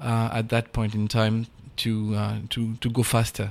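Recorded very cleanly against a silent background, a man speaks at medium pitch and a fairly slow pace. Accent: French. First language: French. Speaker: diplomat. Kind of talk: interview. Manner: halting.

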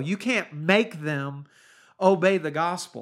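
A high-pitched man with an American accent, in a very clean recording with a silent background. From US Midwest (Ohio, Kansas). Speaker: preacher. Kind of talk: sermon-style Bible study podcast. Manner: informal, folksy.

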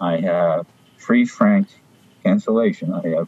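Recorded dry and close with no echo, a man's voice comes through noticeable background noise. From France (Paris). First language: French. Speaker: stamp dealer. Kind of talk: interview. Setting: video call.

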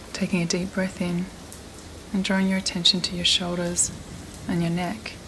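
A woman's fairly low voice with a soothing, calm tone and fairly even intonation, over noticeable background noise. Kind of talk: guided meditation. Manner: slow, soothing, calm and gentle; soft-spoken with long pauses.

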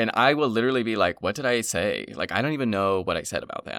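On a very clean recording with a silent background and a dry, close sound with no echo, a man at medium pitch talks very fast with vocal fry and very wide pitch swings. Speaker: podcast co-host. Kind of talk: casual chat.

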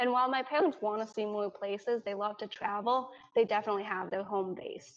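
A woman with an American accent talks at a fairly quick pace in a plain, everyday voice, with fairly high pitch and ordinary pitch variation. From New York, US. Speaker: Chinese adoptee. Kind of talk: casual chat.

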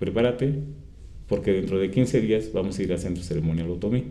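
The voice has a dark, mellow tone and lively intonation. Room echo is audible. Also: man. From Mexico, San Pablo Autopan, Toluca, State of Mexico. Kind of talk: interview. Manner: halting, many fillers.

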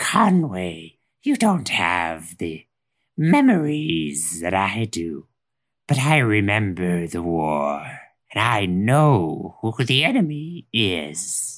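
The put-on character voice is low in pitch and delivered at a very slow pace. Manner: grim, certain, vengeful.

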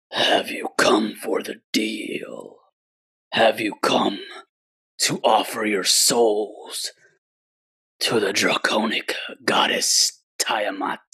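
A man puts on a raspy character voice, speaking at a very slow pace with long, frequent pauses. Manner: menacing.

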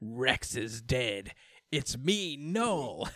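A man puts on a character voice at medium pitch with very wide pitch swings. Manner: creepy, menacing.

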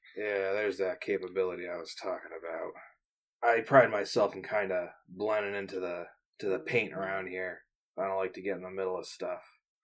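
A raspy, put-on character voice from a man, fairly low in pitch, at a fairly quick pace. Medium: actual play. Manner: dry, guarded.

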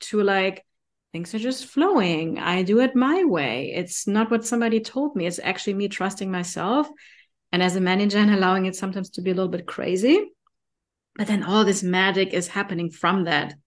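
A woman at a medium pitch with a German accent, fairly quick pace and ordinary pitch variation, over a quiet background. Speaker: podcast co-host and business partner. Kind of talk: casual collaborative podcast chat.

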